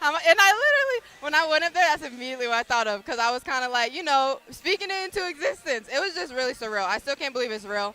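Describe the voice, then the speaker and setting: A woman with a high pitch talks at a very fast pace in a raised, projected voice, with hardly any pauses and very wide pitch swings. Her tone is animated, and there is noticeable background noise. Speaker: college basketball player. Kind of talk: post-game interview. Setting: radio booth. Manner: loud.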